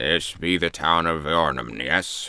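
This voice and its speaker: A man's put-on character voice, raspy and very deep, at a fairly slow pace. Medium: read story. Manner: curt, dismissive.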